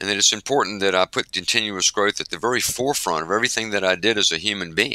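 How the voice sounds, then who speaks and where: With a Southern US accent, a man talks at a very fast pace in a bright, sharp tone, his fairly low pitch moving with ordinary variation, and the sound is dry and close with no echo. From US South. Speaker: organization executive and author. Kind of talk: interview.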